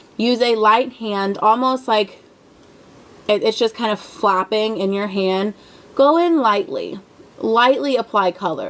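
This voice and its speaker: A woman's fairly high voice at a very slow pace, with noticeable background noise. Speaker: beauty vlogger. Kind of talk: tutorial. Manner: casual, rambling with fillers.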